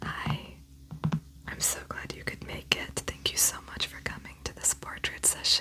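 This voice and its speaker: Someone whispers in a soft-spoken way against noticeable background noise. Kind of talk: ASMR roleplay, whispered portrait artist session. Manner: whispered, soft-spoken; slightly loud whispers.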